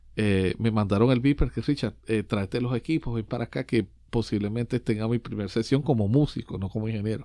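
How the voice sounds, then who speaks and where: Against a quiet background, a man with a dark, mellow tone talks at a fairly quick pace with hardly any pauses and ordinary pitch variation. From Venezuelan-Puerto Rican family, raised in Orlando, Florida. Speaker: percussionist and music producer. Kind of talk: interview. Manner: halting, many fillers and repetitions. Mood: warm, smiling. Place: studio. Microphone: studio mic.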